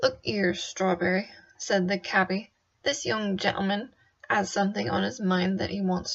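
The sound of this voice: A quiet background under an unforced reading voice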